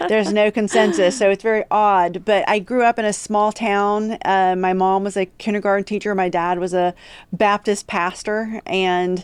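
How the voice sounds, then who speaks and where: A woman speaks with an American accent. Her intonation is fairly even. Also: very clean recording, silent background. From West Virginia, Huntington (Appalachia). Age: 40s. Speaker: policy lawyer. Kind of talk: podcast interview.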